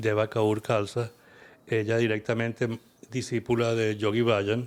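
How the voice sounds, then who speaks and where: The speaker is a man. He talks with a Venezuelan accent. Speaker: kundalini yoga teacher. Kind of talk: interview conversation.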